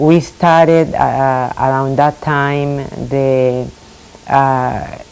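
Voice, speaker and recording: Over noticeable background noise, a woman with a Spanish accent speaks at a very slow pace in a very deep, low pitch with monotone, flat intonation. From Puerto Rico. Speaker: retired school administrator. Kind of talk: oral history interview. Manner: halting, many fillers.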